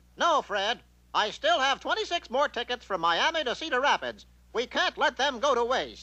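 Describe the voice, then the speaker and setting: A cartoonish character voice from a man, pitched extremely high, against a quiet background. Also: moderate pace. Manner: pompous, self-assured.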